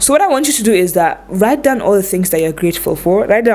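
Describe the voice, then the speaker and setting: A woman with a non-native accent talks very fast in a lively, bouncing intonation over noticeable background noise. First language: not English. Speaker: lifestyle vlogger. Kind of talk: advice vlog. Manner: casual, conversational.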